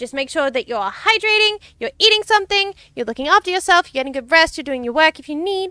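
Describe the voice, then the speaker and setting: A raised, projected voice with an Australian accent swings very widely in pitch and has a bright, sharp tone. The recording is very clean, dry and close, with a silent background and no echo. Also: woman. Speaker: VTuber streamer. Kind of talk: livestream gaming chat. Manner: animated.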